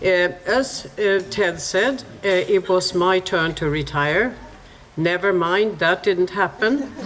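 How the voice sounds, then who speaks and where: Speaking very slowly with a Swedish accent, a woman holds a medium pitch with ordinary pitch variation and very even loudness, with noticeable background noise behind her. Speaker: honorary consul. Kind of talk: greeting speech.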